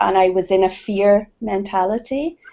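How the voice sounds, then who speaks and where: Speaking very slowly in a Scottish accent, a woman uses a medium pitch with ordinary pitch variation. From Scotland. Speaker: participant in women's circle. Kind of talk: sharing in online group circle. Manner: halting.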